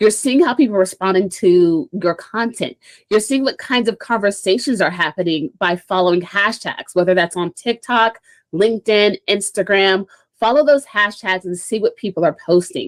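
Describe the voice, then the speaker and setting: In a very clean recording with a silent background and a dry, close sound with no echo, a woman with an ordinary speaking voice talks at medium pitch and a moderate pace with ordinary pitch variation. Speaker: social media marketing speaker. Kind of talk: presentation talk.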